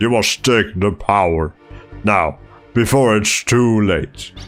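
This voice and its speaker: A man performs a put-on character voice with a fairly low pitch and very even loudness. He goes at a fairly slow pace over faint music in the background. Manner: ominous.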